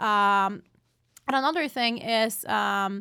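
A woman's voice in a Portuguese accent, with ordinary pitch variation. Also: very clean recording, silent background. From Brazil. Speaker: political science professor. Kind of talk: interview. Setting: office.

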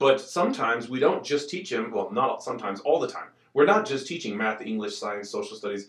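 A man talks at a fairly quick pace in an ordinary speaking voice of medium pitch. His intonation is lively. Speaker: school district student services director. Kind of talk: casual interview chat.

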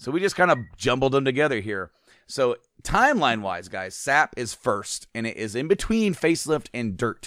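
An unremarkable speaking voice at a moderate pace with lively intonation, dry and close with no echo on a very clean recording with a silent background. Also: man. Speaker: podcast host. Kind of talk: casual podcast chat ranking songs.

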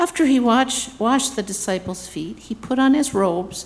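This is a normal speaking voice at a moderate pace. The intonation is lively. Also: woman. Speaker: scripture reader. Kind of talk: reading aloud.

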